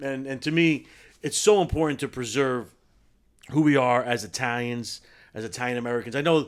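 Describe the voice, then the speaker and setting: A man with a New Jersey accent talks fairly quickly in a medium pitch with ordinary pitch variation and long, frequent pauses. The recording is very clean, with a silent background. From New Jersey, US. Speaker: food show host, guest. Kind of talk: casual chat.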